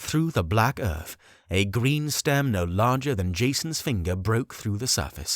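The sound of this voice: This unforced reading voice moves with lively intonation.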